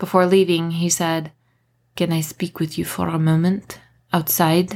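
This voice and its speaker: At a moderate pace, a woman speaks in a fairly low pitch. The recording is very clean, with a silent background. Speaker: author reading her own novel aloud. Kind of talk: literary audiobook reading, first-person narration with character dialogue.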